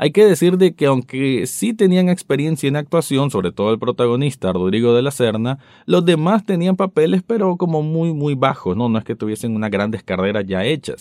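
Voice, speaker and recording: At a moderate pace, a man talks at a fairly high pitch with very wide pitch swings. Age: 30s. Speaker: podcast host, TV critic. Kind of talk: solo commentary podcast.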